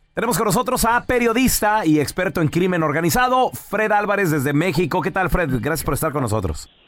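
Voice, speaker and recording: Speaking at a fairly quick pace with hardly any pauses, a man with a high pitch keeps his loudness very even while his pitch swings very widely. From Chihuahua, northern Mexico. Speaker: radio show host. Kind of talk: radio news segment.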